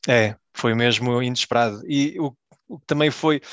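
A man's ordinary speaking voice at medium pitch, with ordinary pitch variation and a dry, close sound with no echo. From Belgium, Portuguese family. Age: 30s. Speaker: football fan guest. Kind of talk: casual chat.

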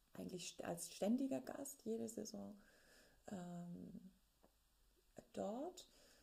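A woman is speaking. Her pace is very slow. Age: 30s. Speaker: opera singer and podcast host. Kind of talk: personal diary-style podcast monologue.

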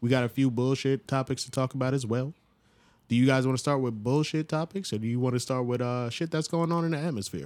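On a very clean recording with a silent background, a man speaks very fast in an American accent. His pitch is medium with ordinary variation. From Long Island, New York. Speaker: podcast co-host. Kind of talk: casual chat.

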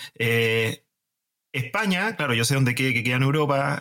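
A man's voice, bright and sharp in tone, moves at a moderate pace. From Chile. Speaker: podcast host. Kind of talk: casual chat.

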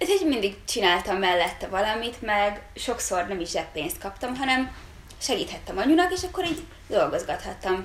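The pitch swings very widely, with audible room echo and noticeable background noise. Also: woman, fairly high pitch for a woman, moderate pace. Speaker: goldsmith. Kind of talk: casual chat.

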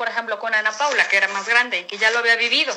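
Bright, sharp female speech, raised and projected. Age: 40s. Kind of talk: interview. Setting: remote recording.

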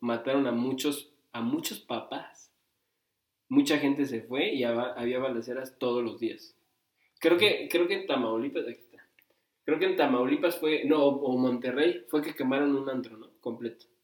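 A man speaks at a moderate pace and medium pitch, with ordinary pitch variation and big swings in loudness. He has an ordinary speaking voice. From Mexico, Cuernavaca, Morelos. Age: 20s. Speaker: podcast co-host. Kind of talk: casual chat.

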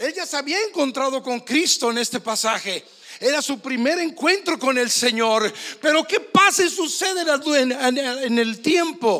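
Over noticeable background noise, a man with an extremely high pitch speaks in a raised, projected voice at a fairly slow pace, his intonation lively. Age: 60s. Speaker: pastor. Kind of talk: sermon.

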